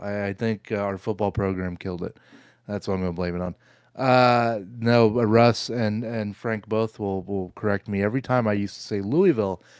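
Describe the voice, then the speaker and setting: With an American accent, a man talks at a fairly quick pace in a fairly low voice with ordinary pitch variation, on a very clean recording with a silent background. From Southern Ohio. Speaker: podcast co-host. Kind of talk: casual chat. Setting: live stream.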